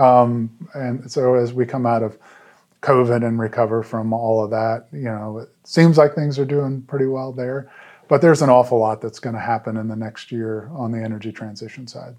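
A man with an American accent, medium pitch, dark, mellow tone, fairly even intonation and moderate pace, over a quiet background. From Pennsylvania, Waynesboro (south-central). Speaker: marketing executive. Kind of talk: interview. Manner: hesitant fillers.

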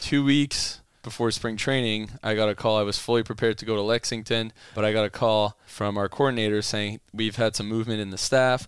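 A man at a fairly low pitch and a very fast pace, monotone and flat, with music in the background. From Ottawa, Canada. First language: French. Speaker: baseball strength and conditioning coach. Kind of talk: casual interview.

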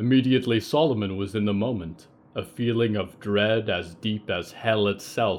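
This is someone reading aloud. The voice stays natural.

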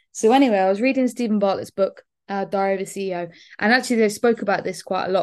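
Against a quiet background, a woman with a southern English accent speaks at a medium pitch and a moderate pace. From southern England, Bournemouth. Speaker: fitness and weight-loss business coach. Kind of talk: solo podcast monologue. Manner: casual, many filler words.

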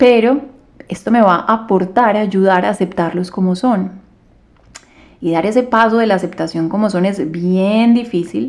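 A woman talks at a moderate pace and medium pitch with ordinary pitch variation. It is an unremarkable speaking voice. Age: 30s. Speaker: yoga and meditation teacher, podcast host. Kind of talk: solo podcast monologue. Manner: calm.

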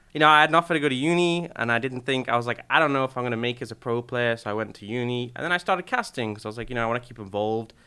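Big swings in loudness mark a man talking at a very fast pace. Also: medium pitch for a man, ordinary pitch variation, hardly any pauses. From UK. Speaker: esports caster. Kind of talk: casual chat.

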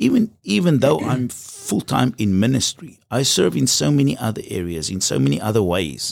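A man with a fairly low voice and vocal fry speaks at a moderate pace, swinging very widely in pitch and hardly pausing at all. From South Africa. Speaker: pastor. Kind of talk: testimony.

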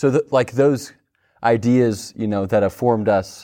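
The background is quiet as a man talks. His medium-pitched voice has fairly even intonation. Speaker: television reporter. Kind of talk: panel discussion. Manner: halting, many fillers.

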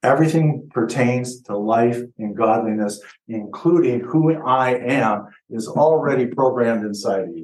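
A man speaks at a moderate pace and medium pitch, with ordinary pitch variation. He has a plain, everyday voice. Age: 60s. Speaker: pastor. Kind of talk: sermon. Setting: church.

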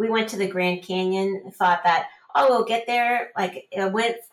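A woman reads at a fairly slow pace in an unremarkable speaking voice, medium in pitch with ordinary pitch variation. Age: 50s. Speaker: trail runner. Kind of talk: interview.

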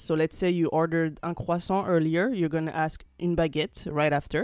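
A woman with a French accent and a fairly low pitch. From France. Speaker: French language teacher. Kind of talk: tutorial.

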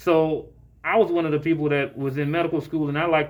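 In an American accent, the speaker talks at a fairly quick pace in a normal speaking voice. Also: man. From Jacksonville, Florida. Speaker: physician. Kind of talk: interview.

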